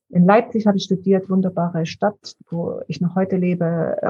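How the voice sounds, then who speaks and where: Somewhat breathy and dark, mellow in tone, a woman speaks at a moderate pace with a fairly low pitch and monotone, flat intonation. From eastern Germany, Dresden. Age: 60s. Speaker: founder of a mental health charity. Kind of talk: interview.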